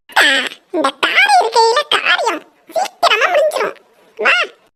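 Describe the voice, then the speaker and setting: A squeaky, cartoonish character voice at extremely high pitch, with very wide pitch swings and a fairly slow pace. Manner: bantering, cocky.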